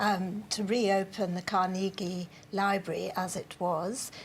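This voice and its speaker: Somewhat breathy, a woman speaks in a monotone with flat intonation. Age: 60s. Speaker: adult literacy group organiser. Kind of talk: TV news interview.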